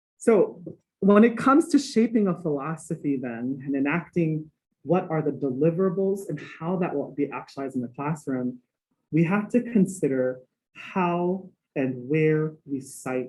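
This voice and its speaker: With a Hawaii accent, a man talks at a moderate pace. His voice sits fairly high and his intonation is lively. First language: Hawaiian. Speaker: music professor. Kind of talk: lecture.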